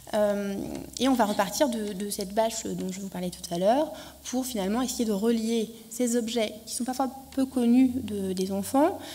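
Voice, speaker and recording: Big swings in loudness mark a woman's fairly high voice with ordinary pitch variation at a moderate pace, with audible room echo. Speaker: archaeologist presenting an education project. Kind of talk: conference talk. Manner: hesitant, many fillers.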